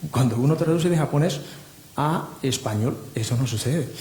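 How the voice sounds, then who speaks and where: This man's voice is fairly high-pitched with ordinary variation. He keeps a moderate pace. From Japan. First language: Japanese (speaking Spanish). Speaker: literary translator. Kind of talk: panel discussion. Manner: halting.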